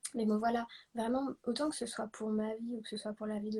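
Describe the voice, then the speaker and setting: A woman is speaking. She keeps a moderate pace. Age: 20s. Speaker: guest sharing testimony. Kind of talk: testimony. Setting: livestream.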